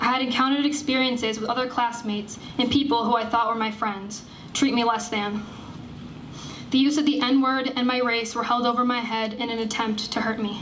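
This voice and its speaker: Noticeable background noise sits behind a woman with an American accent. She speaks high-pitched and fairly quickly, in a monotone, flat intonation. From Skaneateles, New York, US. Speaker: college student and activist. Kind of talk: protest rally speech. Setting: outdoors.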